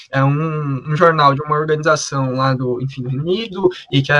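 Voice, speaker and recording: Using a normal speaking voice, a man talks with fairly high pitch and fairly even intonation. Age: 20s. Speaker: podcast co-host. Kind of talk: podcast discussion.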